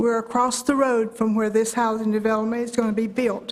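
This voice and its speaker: A woman with a North Carolina accent, speaking at a moderate pace. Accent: Southern US, North Carolina. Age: 80s+. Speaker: public commenter. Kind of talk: public comment at meeting. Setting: county board meeting room.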